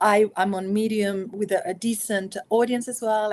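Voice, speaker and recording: A woman in a Spanish accent talks at a moderate pace, her pitch fairly high. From Spain. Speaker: author and consultant. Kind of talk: interview.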